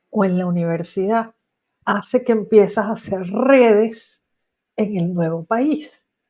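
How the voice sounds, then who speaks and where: A woman's very slow, dark and mellow voice with a Venezuelan accent. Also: medium pitch for a woman, ordinary pitch variation. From Venezuela, Maracaibo. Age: 60s. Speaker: psychologist. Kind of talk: interview.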